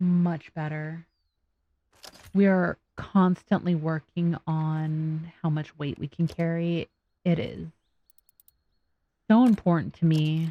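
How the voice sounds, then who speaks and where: Mumbling at a very slow pace with long, frequent pauses, a woman speaks at a fairly low pitch in a dark, mellow tone with fairly even intonation, the sound dry and close with no echo. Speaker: gaming video creator. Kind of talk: let's play commentary. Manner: casual, talking to herself.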